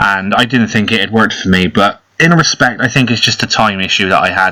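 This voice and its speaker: Speaking very fast with an English accent, a man uses a fairly low pitch and ordinary pitch variation. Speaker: mobile game youtuber. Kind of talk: gameplay commentary. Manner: casual.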